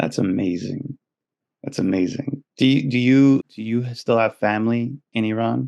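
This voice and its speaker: This man's voice has a dark, mellow tone, and the sound is dry and close with no echo. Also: medium pitch for a man, ordinary pitch variation, moderate pace. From New York City. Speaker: podcast host. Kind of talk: podcast interview.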